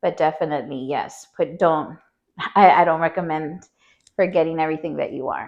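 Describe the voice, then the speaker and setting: An unremarkable speaking voice belongs to a woman with an American accent. She talks at a fairly quick pace in a fairly low pitch with fairly even intonation. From Texas border, Laredo. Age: 40s. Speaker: community leader and business owner. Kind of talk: interview.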